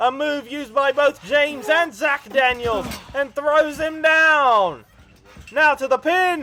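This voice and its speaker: An extremely high-pitched, raised, projected voice from a man at a very slow pace. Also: ordinary pitch variation. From Britain. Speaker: wrestling commentator. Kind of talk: live commentary. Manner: animated.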